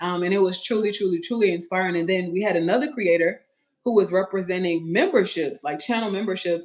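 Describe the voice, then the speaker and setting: In a Louisiana accent, a woman speaks at medium pitch with ordinary pitch variation. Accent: Louisiana Southern US. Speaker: family vlogger. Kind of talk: livestream chat. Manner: animated.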